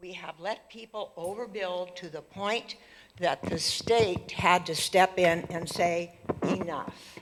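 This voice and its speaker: Speaking very slowly with an American accent, a woman at medium pitch keeps a fairly even intonation while her loudness swings widely against noticeable background noise. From Montana (Whitefish). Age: 80s+. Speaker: local resident giving public comment. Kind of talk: public comment at council meeting. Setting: city council meeting with audience.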